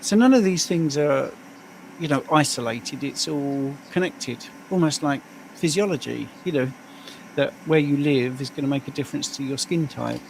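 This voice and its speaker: A man with a British accent, a fairly high pitch, ordinary pitch variation and a moderate pace. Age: 60s. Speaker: health coach. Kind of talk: casual livestream chat.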